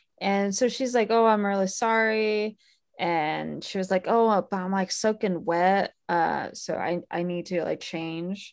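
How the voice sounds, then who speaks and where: With an ordinary speaking voice, a woman talks at a fairly slow pace in a medium pitch and fairly even intonation over a quiet background. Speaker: podcast host. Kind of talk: casual chat about movies.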